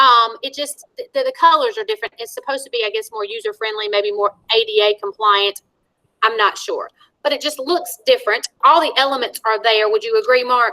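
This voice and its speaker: A woman's high, bright, sharp voice at a fairly quick pace. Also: dry, close sound with no echo. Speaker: school technology trainer. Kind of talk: online staff training. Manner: fast.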